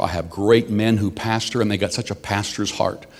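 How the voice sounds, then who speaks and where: The man's pitch is fairly low, and he talks at a moderate pace. He has an ordinary speaking voice. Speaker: senior pastor. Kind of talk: sermon.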